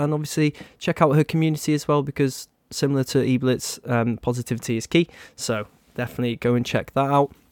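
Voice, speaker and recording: Someone with a British accent speaks at a very fast pace with fairly even intonation. The sound is dry and close, with no echo. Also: man. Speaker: podcast host. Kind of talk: casual chat. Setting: live online call.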